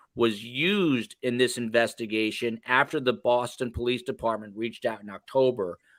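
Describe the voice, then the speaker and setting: In a very clean recording with a silent background and a dry, close sound with no echo, a man with a medium pitch talks at a moderate pace with ordinary pitch variation and hardly any pauses. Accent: slight New Jersey. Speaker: podcast host. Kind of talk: casual chat.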